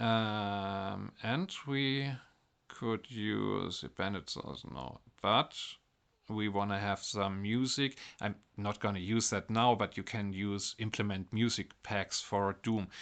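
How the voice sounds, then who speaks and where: With a German accent, a man speaks at a very slow pace in a fairly low pitch. His pitch varies in an ordinary way, and the background is quiet. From Germany. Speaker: mobile game modding content creator. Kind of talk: game tutorial narration.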